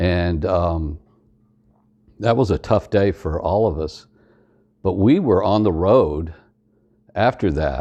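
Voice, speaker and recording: A man speaks with a very deep, low pitch, a dark, mellow tone and a Southern US accent, with ordinary pitch variation. His pace is very slow, with long, frequent pauses over a quiet background. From US South (East Tennessee, Georgia). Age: 60s. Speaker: Air Force veteran. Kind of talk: testimony. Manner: halting.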